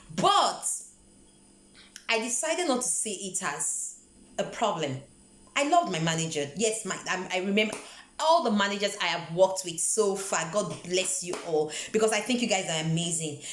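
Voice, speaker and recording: Amid audible room echo and noticeable background noise, a woman of medium pitch talks at a moderate pace with lively intonation and long, frequent pauses. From Nigeria. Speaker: vlogger. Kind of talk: motivational vlog talk. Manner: conversational, repeats words.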